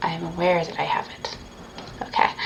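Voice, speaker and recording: A woman talks fairly slowly amid noticeable background noise. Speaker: pagan ritual practitioner streaming. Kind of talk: livestreamed ritual walkthrough. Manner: halting, self-correcting.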